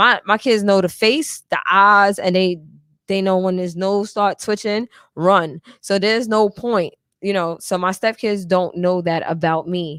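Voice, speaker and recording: Recorded very cleanly with a silent background, a woman speaks at a medium pitch with fairly even intonation. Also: fairly slow pace, dry, close sound with no echo. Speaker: podcast co-host. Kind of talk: casual chat. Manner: loud.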